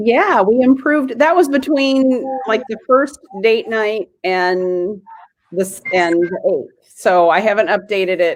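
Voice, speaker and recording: Speaking very slowly in a Midwestern US accent, a woman uses a fairly high pitch and lively intonation, with big swings in loudness. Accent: US Midwest. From US Midwest, Illinois. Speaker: genealogy livestream host. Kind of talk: casual chat.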